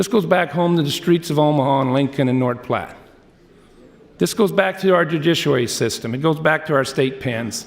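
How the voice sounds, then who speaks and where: This man has a fairly high-pitched voice. He speaks at a moderate pace with ordinary pitch variation. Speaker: state legislator. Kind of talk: floor debate speech. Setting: legislative chamber. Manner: loud; impassioned.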